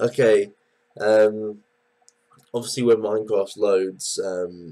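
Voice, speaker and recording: A fairly low-pitched male voice with ordinary pitch variation. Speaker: gaming commentator. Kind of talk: let's play commentary.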